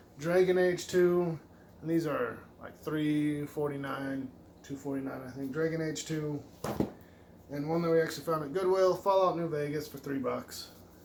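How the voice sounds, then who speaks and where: A man speaks with a fairly high pitch and fairly even intonation. Noticeable background noise and audible room echo fill the recording. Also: moderate pace. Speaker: retro game collector YouTuber. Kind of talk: casual video game haul show-and-tell.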